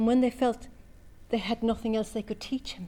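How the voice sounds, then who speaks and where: A woman speaks in an Irish accent with a dark, mellow tone. Her voice is somewhat breathy. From Cork, Ireland. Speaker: storyteller. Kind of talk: oral storytelling performance.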